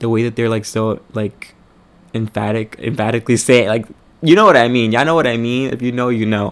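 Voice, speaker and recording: Fairly quick delivery from a man, medium in pitch. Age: 20s. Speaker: vlogger. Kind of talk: personal storytelling vlog. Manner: animated, many fillers.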